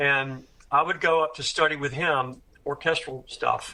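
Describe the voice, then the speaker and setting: This man speaks with an American accent. His voice is fairly high-pitched, with a bright, sharp tone. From US South, Tuscaloosa, Alabama. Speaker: career drummer. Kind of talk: interview conversation. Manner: halting, repetitive restarts.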